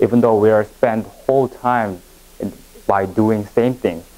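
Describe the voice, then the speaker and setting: A man speaks with a Korean accent. His pace is fairly slow. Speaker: education presenter. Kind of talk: lecture. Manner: halting.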